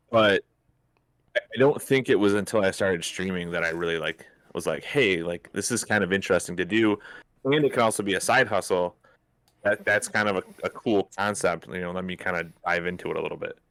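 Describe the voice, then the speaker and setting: Here a man talks in a plain, everyday voice, fairly low in pitch, at a fairly quick pace with ordinary pitch variation. The recording is very clean with a silent background and a dry, close sound with no echo. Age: 30s. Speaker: streamer. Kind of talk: interview.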